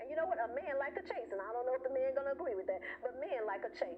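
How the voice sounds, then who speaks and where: Over noticeable background noise, a woman speaks in an animated tone at a very fast pace, her pitch swinging very widely. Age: 60s. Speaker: talk show host. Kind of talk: live talk show monologue. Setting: live stream.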